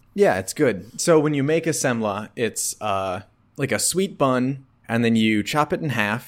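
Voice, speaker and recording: A man with an American accent has a plain, everyday voice and ordinary pitch variation. He speaks at a fairly slow pace in a very clean recording with a silent background. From rural Wisconsin, US. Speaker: podcast co-host. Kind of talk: casual chat.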